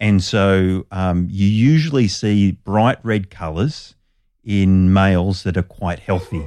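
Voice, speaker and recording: A man with an Australian accent speaks at a fairly low pitch and a very slow pace, his tone dark and mellow. The recording is very clean, with a silent background. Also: ordinary pitch variation. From Australia, Sydney northern beaches. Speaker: biologist. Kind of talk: interview.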